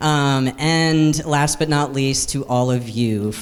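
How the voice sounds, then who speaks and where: A man with a fairly high voice speaks with fairly even intonation, and audible room echo can be heard. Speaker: director of a labor advocacy group, conference host. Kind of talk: conference opening remarks. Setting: conference hall with live audience. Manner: fast.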